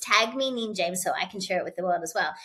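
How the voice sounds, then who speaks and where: A woman with an Australian accent has a bright, sharp tone. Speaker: keynote speaker and author. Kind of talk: podcast interview. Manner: energetic.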